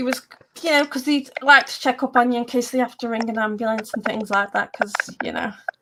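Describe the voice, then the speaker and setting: A high-pitched woman's voice with an English accent and fairly even intonation. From England. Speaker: paranormal radio host. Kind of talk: casual chat. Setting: live stream. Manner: halting.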